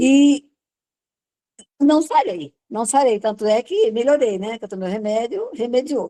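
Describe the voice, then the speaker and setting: A woman speaks fairly slowly at a fairly high pitch, with ordinary pitch variation and a dark, mellow tone. The sound is dry and close, with no echo. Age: 70s. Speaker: user giving health testimony. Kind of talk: testimony.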